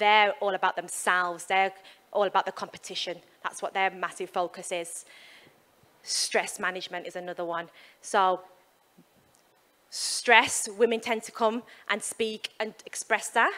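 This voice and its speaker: A woman with a West Midlands accent speaks at a moderate pace and a medium pitch, in a bright, sharp tone. Her intonation is fairly even, her loudness swings widely, and she leaves long, frequent pauses. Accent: West Midlands English, obvious. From West Midlands, England. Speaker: sports performance psychologist. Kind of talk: keynote talk. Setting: stage with audience, handheld mic. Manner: casual, with fillers.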